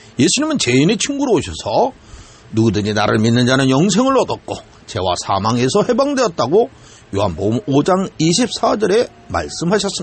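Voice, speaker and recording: With noticeable background noise behind it, the voice moves at a fairly quick pace through very wide pitch swings. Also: man, fairly high pitch for a man. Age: 60s. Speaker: pastor. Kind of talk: sermon. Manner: formal.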